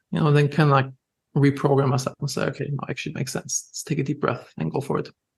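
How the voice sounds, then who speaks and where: A man with a German accent at a very fast pace, flat and monotone, with vocal fry. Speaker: entrepreneur. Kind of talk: podcast interview. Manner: casual, filler-heavy.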